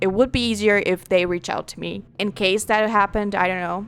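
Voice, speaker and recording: In a non-native accent, a woman talks at a fairly quick pace with a medium pitch and fairly even intonation. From non-English-speaking country. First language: not English. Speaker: gaming YouTuber. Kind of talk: casual gameplay commentary. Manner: loud, often yelling; halting, many restarts.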